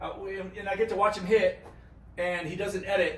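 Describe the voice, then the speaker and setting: The voice races along at a very fast pace with an animated tone. Audible room echo and noticeable background noise surround it. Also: man. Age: 50s. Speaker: golf YouTuber. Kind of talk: casual vlog-style golf tutorial.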